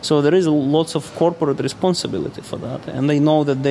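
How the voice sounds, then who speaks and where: There is noticeable background noise as a man talks at a fairly quick pace. His voice is fairly high, and his intonation is fairly even. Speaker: observer of life in Russia. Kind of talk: casual interview conversation. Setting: hotel lobby.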